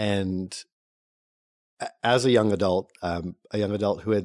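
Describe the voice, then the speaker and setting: Speaking with an American accent, a man uses a fairly low pitch and a dark, mellow tone at a moderate pace with fairly even intonation, the sound dry and close with no echo over a quiet background. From North Carolina, US South. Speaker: non-profit founder. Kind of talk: interview. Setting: studio.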